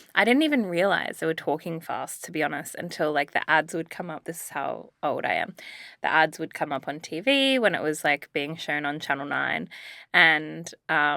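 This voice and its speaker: Speech with an Australian accent comes at a moderate pace, with vocal fry and ordinary pitch variation. The tone is bright and sharp, on a very clean recording with a silent background. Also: woman, very deep, low pitch for a woman. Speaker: podcast co-host. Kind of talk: casual chat.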